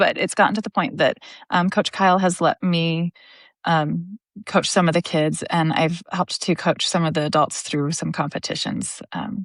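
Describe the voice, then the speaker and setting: A woman with an American accent speaks at a moderate pace and fairly low pitch with fairly even intonation, in a dry, close sound with no echo against a quiet background. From Nevada. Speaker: jiu-jitsu student and kids' coach. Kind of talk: interview. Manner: loud.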